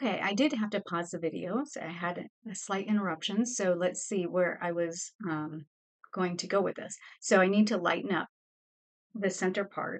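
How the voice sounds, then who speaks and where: A woman's medium pitch at a moderate pace, an unremarkable speaking voice. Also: ordinary pitch variation. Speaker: art teacher. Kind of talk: tutorial.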